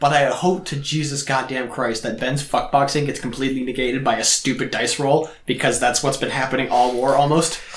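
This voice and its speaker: Amid noticeable background noise and audible room echo, a man speaks in a fairly high voice with fairly even intonation. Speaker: podcast co-host, tabletop gamer. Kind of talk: casual chat.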